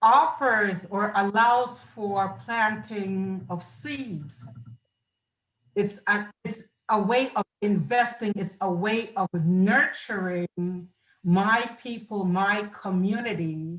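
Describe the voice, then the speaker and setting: Speaking very slowly, a woman uses a medium pitch with ordinary pitch variation. She has a Central American accent. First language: Garifuna. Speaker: film festival producer and writer. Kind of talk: interview. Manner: halting.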